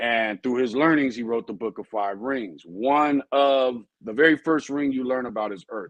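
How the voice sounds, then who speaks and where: Recorded with a dry, close sound and no echo, a man talks in a normal speaking voice at a moderate pace with ordinary pitch variation. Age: 40s. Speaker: dog breeder and trainer. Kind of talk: live stream talk. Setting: live stream. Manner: casual, rambling delivery with fillers.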